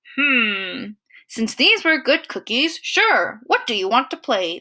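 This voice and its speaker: A woman puts on a character voice, high in pitch. She growls in a gentle tone. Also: fairly slow pace. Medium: read story. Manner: gentle, growly.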